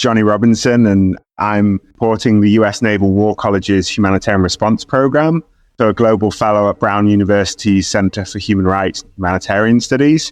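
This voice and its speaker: Speaking at a fairly quick pace, a man with a British accent has a fairly low pitch. The background is quiet. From UK. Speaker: humanitarian researcher. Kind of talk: podcast interview.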